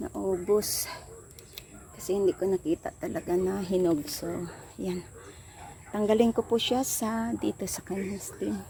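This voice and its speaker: The speaking is fairly slow and shows ordinary pitch variation, with noticeable background noise throughout. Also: woman. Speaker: home gardener vlogger. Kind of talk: casual vlog narration. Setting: outdoors in backyard.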